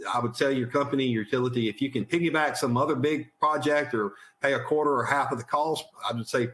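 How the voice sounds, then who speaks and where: Very fast speech from a man with ordinary pitch variation over noticeable background noise. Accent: American. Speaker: utility vegetation manager. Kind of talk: webinar presentation. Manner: halting, repeats words.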